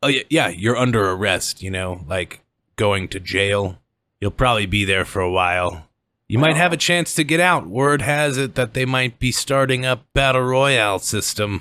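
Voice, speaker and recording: A man speaks in a put-on character voice with a raspy sound at medium pitch. His intonation is lively, and the recording is very clean with a silent background. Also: moderate pace. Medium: actual play. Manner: smug, authoritative.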